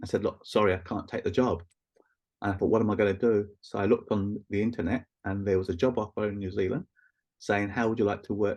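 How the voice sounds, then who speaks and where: A man with a London accent speaks at a fairly quick pace. His pitch is fairly low and his intonation fairly even. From East London, England. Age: 60s. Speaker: Reiki practitioner and teacher. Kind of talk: casual interview chat.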